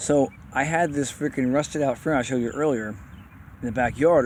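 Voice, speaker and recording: Noticeable background noise fills the recording. A man's voice comes through it. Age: 40s. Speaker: bike customizer showing his bikes. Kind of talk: casual show-and-tell video. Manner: fast; mumbling at times.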